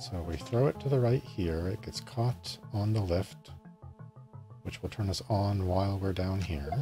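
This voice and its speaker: A man speaks at a fairly low pitch while clear music plays in the background. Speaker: game streamer. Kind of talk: gameplay commentary. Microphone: studio mic.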